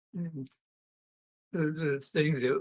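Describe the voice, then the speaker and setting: In a dry, close sound with no echo, a man speaks in a fairly high, somewhat breathy voice with fairly even intonation. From New England (New Bedford, Massachusetts). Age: 90s. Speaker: elderly relative interviewed about his life. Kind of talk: interview.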